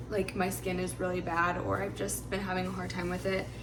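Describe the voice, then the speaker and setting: Noticeable background noise and audible room echo accompany fairly quick speech. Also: woman. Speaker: lifestyle vlogger. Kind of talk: casual vlog talk to camera. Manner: fast; chatty, lots of filler words.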